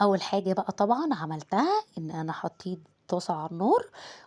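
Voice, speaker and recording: In an Egyptian accent, a woman with a medium pitch and a dark, mellow tone speaks at a fairly slow pace on a very clean recording with a silent background. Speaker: home cooking vlogger. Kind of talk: cooking tutorial. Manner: casual, chatty.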